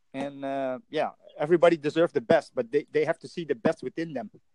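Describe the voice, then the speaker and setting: Speaking at a fairly quick pace with a Dutch accent, a man with a high pitch sounds dry and close with no echo. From Netherlands. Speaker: language practice chat partner. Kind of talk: casual chat. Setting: online voice call. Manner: halting.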